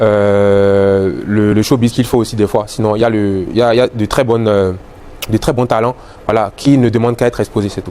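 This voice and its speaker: Over noticeable background noise, someone with a Beninese accent speaks at a fairly quick pace in a monotone, flat intonation. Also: man. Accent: Beninese accent, kept. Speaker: musician. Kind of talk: interview. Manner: hesitant, many fillers and repetitions.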